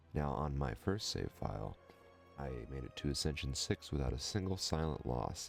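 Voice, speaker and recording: Over music in the background, a man with a very deep, low pitch speaks at a moderate pace with lively intonation. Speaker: gaming let's play commentator. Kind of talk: casual gameplay commentary. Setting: home recording, mic not dialed in. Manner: smooth, sultry.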